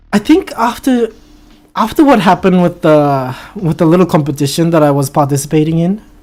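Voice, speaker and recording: The pace is fairly quick. Music plays behind the voice. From half Japanese, half Filipino heritage. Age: 20s. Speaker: live streamer. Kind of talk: casual live stream chat reading comments.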